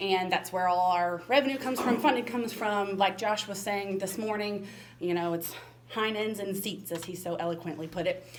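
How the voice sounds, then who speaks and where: A woman speaks with an American accent at medium pitch, with ordinary pitch variation. Noticeable background noise and audible room echo are present. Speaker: special education administrator. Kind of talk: presentation. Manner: fast.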